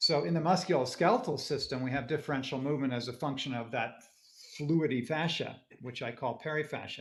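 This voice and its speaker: Somewhat breathy and fairly high in pitch, a man talks at a very fast pace with ordinary pitch variation. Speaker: anatomist. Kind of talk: interview conversation.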